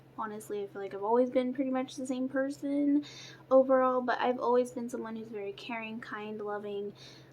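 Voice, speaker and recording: Noticeable background noise sits under a woman who speaks in a high pitch at a fairly quick pace with fairly even intonation. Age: 20s. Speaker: beauty vlogger. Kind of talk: casual chat. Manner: casual, filler-heavy.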